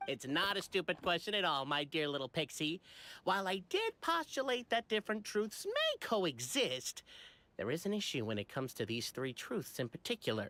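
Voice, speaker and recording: In a put-on character voice at a middle pitch, the speaker goes at a moderate pace on a very clean recording with a silent background. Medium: video game. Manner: measured, academic.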